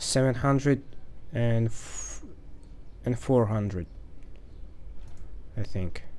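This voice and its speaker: The speaker has a Russian accent and ordinary pitch variation. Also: man. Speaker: game developer. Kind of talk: casual screen-recorded programming tutorial.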